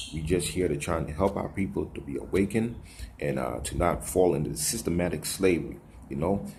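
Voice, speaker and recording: With audible room echo, a man speaks at a fairly quick pace in a very deep, low voice with vocal fry and lively intonation. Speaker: religious video blogger. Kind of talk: casual vlog monologue. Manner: fast.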